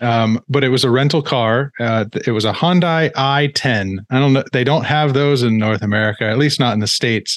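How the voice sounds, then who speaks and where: A man with an unremarkable speaking voice at medium pitch, ordinary pitch variation, very even loudness and a moderate pace, against a quiet background. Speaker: podcast host. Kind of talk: interview.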